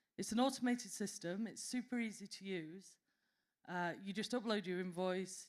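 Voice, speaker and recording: A woman speaks with a Yorkshire accent. Her pitch varies in an ordinary way. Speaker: association representative presenting at a conference panel. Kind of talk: conference panel presentation.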